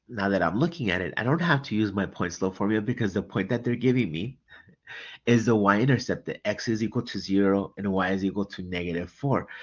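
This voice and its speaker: Against a quiet background, a man talks with an ordinary speaking voice at a fairly low pitch. He speaks fairly quickly, with ordinary pitch variation. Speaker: math tutor. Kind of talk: tutorial.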